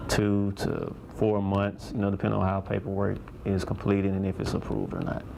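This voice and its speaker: A man speaks at a fairly quick pace in a fairly low, monotone voice with flat intonation, over noticeable background noise. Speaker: school principal. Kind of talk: interview answer.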